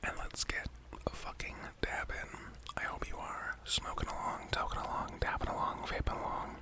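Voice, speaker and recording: A man whispering in a relaxed tone, long, frequent pauses, noticeable background noise behind him. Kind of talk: ASMR whispering, casual talk to camera while dabbing. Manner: casual, relaxed, slightly rambling, with cursing.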